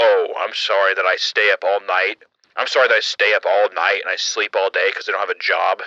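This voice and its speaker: Using a put-on character voice, a man speaks croakily at an extremely high pitch and a fairly quick pace. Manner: sarcastic, bitter.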